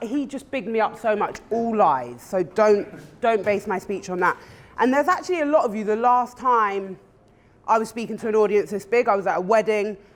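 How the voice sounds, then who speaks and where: Someone with a London accent talks at a fairly quick pace against noticeable background noise. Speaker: conference speaker. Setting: stage.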